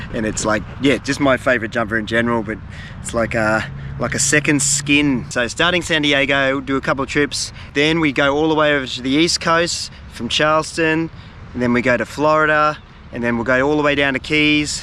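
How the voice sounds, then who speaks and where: A man with an Australian accent, fairly high-pitched, speaking at a fairly quick pace in fairly even intonation over noticeable background noise. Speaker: fishing and travel video creator. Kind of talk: casual vlog talk to camera. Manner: halting, many fillers.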